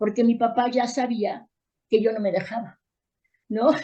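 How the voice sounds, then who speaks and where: A woman with a dark, mellow tone speaks at a fairly high pitch and a moderate pace. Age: 60s. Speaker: therapist and educator. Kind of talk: interview.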